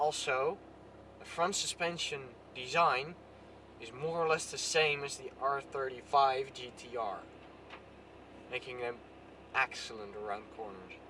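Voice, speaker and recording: A man with a Dutch accent speaks at a fairly high pitch, with ordinary pitch variation and big swings in loudness. He takes long, frequent pauses, and there is noticeable background noise. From Netherlands. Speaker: car vlogger. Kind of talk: casual vlog. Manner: halting.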